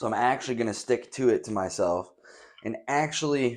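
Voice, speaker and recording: A man speaks in an animated tone. His pitch sits in the medium range. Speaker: podcast host and streamer. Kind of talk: casual chat. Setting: home studio, empty room.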